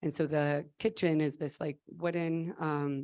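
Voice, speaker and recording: Against a quiet background, a woman with a very deep, low voice speaks with fairly even intonation. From Mexico, State of Mexico. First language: Spanish. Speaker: nonprofit founder. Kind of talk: conference talk.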